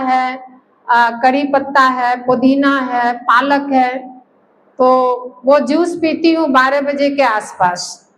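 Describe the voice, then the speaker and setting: A woman speaks at a high pitch. Room echo is audible. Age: 60s. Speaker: health camp participant. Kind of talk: testimony.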